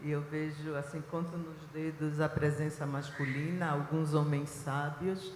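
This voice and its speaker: A woman with a Recife accent speaks at a very deep, low pitch, fairly slowly and with monotone, flat intonation, amid audible room echo and noticeable background noise. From Israel (born in Recife, Brazil). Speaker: biblical archaeologist and professor. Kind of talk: panel talk. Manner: hesitant fillers.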